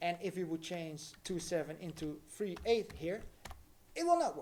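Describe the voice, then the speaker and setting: Speaking with a non-native accent, a man uses a high pitch and ordinary pitch variation. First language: not English. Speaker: crypto livestreamer. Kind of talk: live tutorial. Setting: livestream. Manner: casual, hesitant with fillers.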